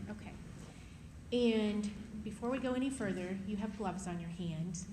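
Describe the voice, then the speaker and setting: Here a woman talks at a moderate pace with a medium pitch. Her pitch varies in an ordinary way, and audible room echo is present. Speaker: prosecutor. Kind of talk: courtroom witness examination. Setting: courtroom with microphone.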